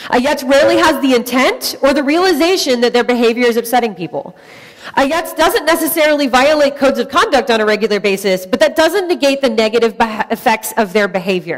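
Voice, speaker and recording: A woman's high, very fast voice with lively intonation and very even loudness, plus noticeable background noise. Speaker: tech conference speaker. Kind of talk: conference talk.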